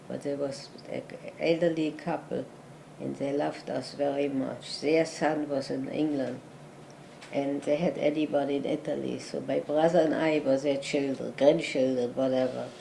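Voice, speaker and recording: A woman talks at a moderate pace with a German accent. Noticeable background noise can be heard. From Germany (Berlin). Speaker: Holocaust survivor. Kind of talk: interview answer.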